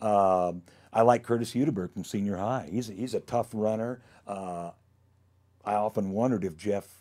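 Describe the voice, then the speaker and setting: With an American accent, a man talks in a fairly low pitch and a dark, mellow tone, his pitch varying in an ordinary way on a very clean recording with a silent background. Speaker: high school football stats keeper and groundskeeper. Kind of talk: casual chat. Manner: fast; animated.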